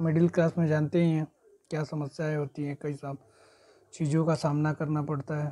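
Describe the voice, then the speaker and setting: A man talks at a moderate pace. His voice is fairly high in pitch, with a dark, mellow tone. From Gorakhpur, eastern Uttar Pradesh, India; Uttar Pradesh, India. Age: 20s. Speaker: vlogger; new YouTuber introducing himself. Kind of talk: personal vlog introduction. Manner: halting. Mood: calm, earnest, slightly humble. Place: home room. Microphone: lapel.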